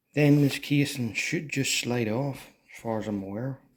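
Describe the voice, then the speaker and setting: Soft-spoken, a man talks at a fairly slow pace with ordinary pitch variation. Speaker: motorcycle restorer. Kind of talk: tutorial. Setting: at home. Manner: soft-spoken, talking quietly.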